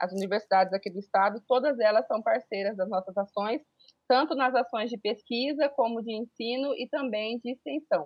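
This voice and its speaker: This woman's voice sits at a fairly high pitch, with ordinary pitch variation. She keeps a moderate pace. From Brazil, Pantanal (Miranda, Mato Grosso do Sul). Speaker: teacher and researcher. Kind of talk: interview. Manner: halting.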